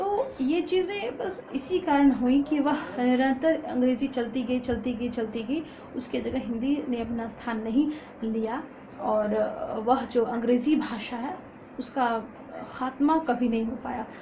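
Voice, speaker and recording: A woman's high voice with a Bihari accent and ordinary pitch variation, amid audible room echo and noticeable background noise. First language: Magahi (speaking Hindi). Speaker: college student and poet. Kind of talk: informal lecture. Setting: at home. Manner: halting with frequent fillers.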